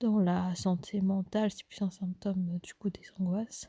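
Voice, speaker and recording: In a dry, close recording with no echo, a woman speaks at a fairly slow pace in a medium-pitched, dark, mellow, somewhat breathy voice with monotone, flat intonation. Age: 20s. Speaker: solo podcaster. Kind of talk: personal diary monologue. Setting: at home, mother in the next room. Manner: hushed, quiet; hesitant.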